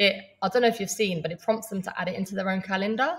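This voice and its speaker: Somewhat breathy and medium-pitched, a woman speaks with an English accent. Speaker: online business coach. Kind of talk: live training webinar. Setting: livestream. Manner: fast; casual, with fillers.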